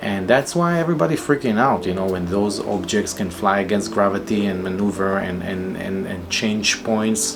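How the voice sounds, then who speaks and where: With noticeable background noise and audible room echo, a man with a fairly low voice speaks at a moderate pace, hardly pausing at all. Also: ordinary pitch variation. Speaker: solo vlogger. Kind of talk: casual monologue. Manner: halting, many fillers and repetitions; improvised.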